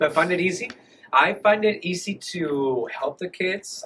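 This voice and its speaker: A man with a Spanish accent speaks in a high pitch. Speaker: dual immersion teacher. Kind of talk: interview. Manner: casual, hesitant.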